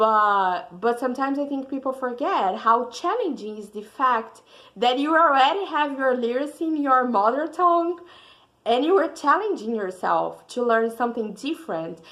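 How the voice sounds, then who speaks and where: Bright, sharp speech in a Brazilian accent, with lively intonation at a moderate pace. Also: woman, high pitch for a woman. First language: Portuguese. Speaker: student. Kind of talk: class presentation.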